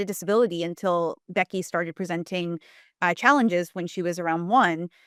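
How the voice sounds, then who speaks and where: With an American accent, a woman talks at a fairly quick pace and medium pitch, with ordinary pitch variation. The recording is very clean, with a silent background and a dry, close sound without echo. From US East Coast. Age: 30s. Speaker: journalist and filmmaker. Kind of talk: casual chat. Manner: halting.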